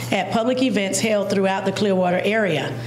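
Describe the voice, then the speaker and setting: A woman is speaking with audible room echo. Light background noise runs underneath. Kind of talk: formal reading of a resolution. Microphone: podium.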